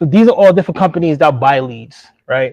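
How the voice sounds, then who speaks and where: The tone is dark and mellow, the pace fairly quick. The sound is dry and close, with no echo. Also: man. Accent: New York. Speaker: AI entrepreneur presenter. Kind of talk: live workshop presentation with screen demo. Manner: casual, conversational.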